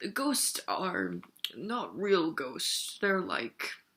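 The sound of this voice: The voice is a guttural put-on character voice at a middle pitch. It moves at a very slow pace.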